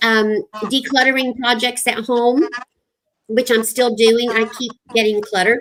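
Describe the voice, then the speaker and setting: At a fairly slow pace, a woman speaks in a high voice with ordinary pitch variation. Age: 60s. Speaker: retired school counselor and YouTuber. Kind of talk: casual chat.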